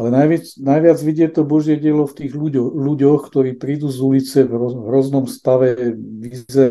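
At a moderate pace, a man talks in an ordinary speaking voice with medium pitch and fairly even intonation. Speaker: innovation expert and charity volunteer. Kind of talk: interview about faith. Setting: remote digital link.

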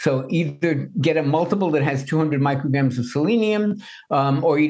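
Breath comes through the voice somewhat. The pitch shifts an ordinary amount. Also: man. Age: 70s. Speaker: nutrition expert and author. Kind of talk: interview.

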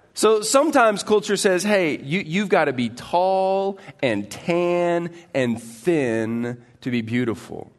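Over a quiet background, a man with a high voice speaks at a very slow pace, his pitch swinging very widely and his speech having hardly any pauses. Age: 40s. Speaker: pastor. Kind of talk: sermon. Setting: church.

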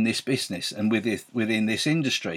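In a very clean recording with a silent background and a dry, close sound with no echo, a man speaks with ordinary pitch variation. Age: 60s. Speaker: Avon sales team leader and podcaster. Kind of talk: sales pitch. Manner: enthusiastic, chatty.

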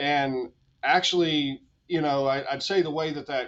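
An unremarkable speaking voice delivers the words with fairly even intonation. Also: man. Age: 40s. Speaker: automotive business consultant. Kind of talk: podcast interview.

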